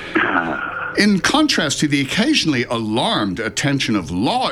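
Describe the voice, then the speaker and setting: Background noise is noticeable throughout. A man speaks at a moderate pace. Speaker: radio host. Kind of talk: comedic radio show banter. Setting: radio broadcast studio.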